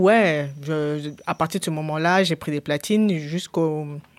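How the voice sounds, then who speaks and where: Her pitch is very deep and low, with ordinary variation. The woman's recording is very clean, with a silent background. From Cameroon. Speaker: DJ and media founder. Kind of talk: casual interview. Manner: halting.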